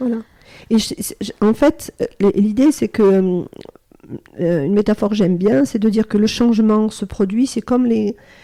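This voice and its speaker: Speaking at a moderate pace with long, frequent pauses, a woman has a dark, mellow tone and a fairly high pitch with ordinary pitch variation. The sound is dry and close, with no echo. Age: 60s. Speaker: psychotherapist and training company manager. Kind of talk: podcast interview. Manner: hesitant, many fillers.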